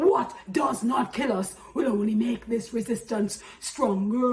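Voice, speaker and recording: The woman here talks at a fairly slow pace. Noticeable background noise runs underneath. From Jamaica. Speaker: spoken-word poet and activist. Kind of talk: spoken-word poetry performance. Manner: forceful, impassioned.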